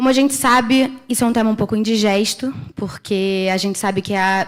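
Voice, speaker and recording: This woman has a Brazilian accent. She speaks at a moderate pace. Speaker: internet policy researcher. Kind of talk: conference panel talk. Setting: conference stage with audience.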